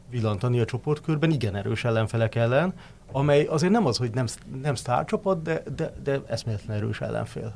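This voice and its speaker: A man's medium-pitched voice with vocal fry, lively intonation and a fairly quick pace. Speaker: sports journalist. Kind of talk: casual chat.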